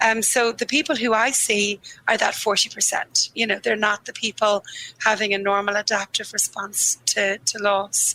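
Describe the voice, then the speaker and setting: In a dry, close sound with no echo, a woman speaks at a moderate pace and a fairly high pitch with fairly even intonation. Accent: Dublin. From Ireland, Dublin. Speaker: grief therapist. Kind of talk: interview conversation.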